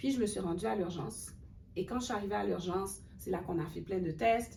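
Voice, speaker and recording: A woman with vocal fry and a dark, mellow tone talks at a fairly quick pace and fairly low pitch, her intonation lively, with audible room echo around her. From Haiti. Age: 30s. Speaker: cultural worker and graduate student. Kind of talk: webinar interview.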